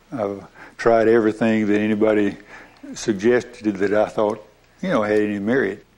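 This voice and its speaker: Fairly low male voice, monotone and flat, at a moderate pace. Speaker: ALS patient, veterinarian. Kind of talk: interview. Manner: halting.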